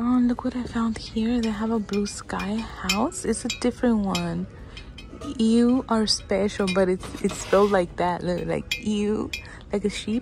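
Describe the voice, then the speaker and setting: Over faint background music, a woman speaks at a fairly slow pace with fairly even intonation, the sound dry with no echo. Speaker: shopping vlogger. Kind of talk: casual vlog chat. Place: shop. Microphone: phone near.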